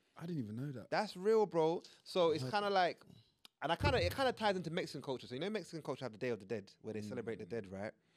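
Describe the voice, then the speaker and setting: Against a quiet background, a man talks at a very fast pace, his pitch swinging very widely. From Ugandan heritage. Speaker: podcast co-host. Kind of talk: casual chat. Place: studio. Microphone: studio mic.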